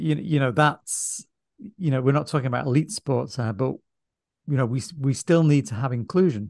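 Here is a man with an ordinary speaking voice, medium pitch and ordinary pitch variation. He goes at a moderate pace, the sound dry and close with no echo over a quiet background. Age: 50s. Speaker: podcast host. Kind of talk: casual chat.

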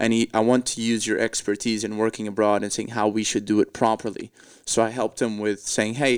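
Speaking at a fairly quick pace with a Portuguese accent, a man with a medium-pitched voice comes through in a very clean recording with a silent background and a dry, close sound free of echo. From Portugal. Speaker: comedian. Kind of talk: casual chat.

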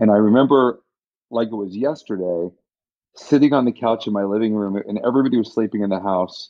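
With a plain, everyday voice, this man talks at a fairly quick pace, his fairly low pitch moving with ordinary variation. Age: 50s. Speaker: cancer survivor and HPV vaccine advocate. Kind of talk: interview.

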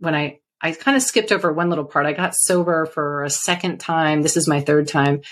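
A woman with an American accent at a moderate pace. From California. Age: 50s. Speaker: lawyer and mindfulness coach. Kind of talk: personal testimony in interview.

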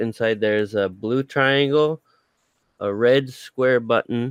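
The sound is dry and close, with no echo. The voice belongs to a man. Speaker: player. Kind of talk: tabletop role-playing game actual play, casual.

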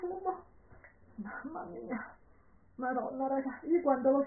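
In a Calabrian accent, a woman speaks at a very slow pace. Her pitch is high, and her intonation is lively. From Calabria, southern Italy. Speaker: perfume podcast co-host. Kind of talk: casual chat. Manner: animated.

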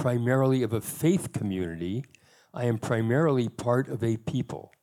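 Speaking with an American accent, a man with a medium-pitched, dark, mellow voice talks at a moderate pace with ordinary pitch variation. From US Pacific Northwest. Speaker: rabbi. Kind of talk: panel discussion.

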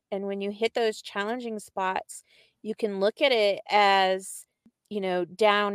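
On a very clean recording with a silent background and a dry, close sound with no echo, a woman speaks fairly slowly in a monotone, flat intonation. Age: 50s. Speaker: podcast co-host. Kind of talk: casual interview chat.

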